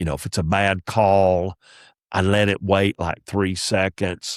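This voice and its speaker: In a Southern US accent, a man speaks at a fairly slow pace on a very clean recording with a silent background. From US South. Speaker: comedian. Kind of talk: podcast storytelling. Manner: preacher-like cadence; animated.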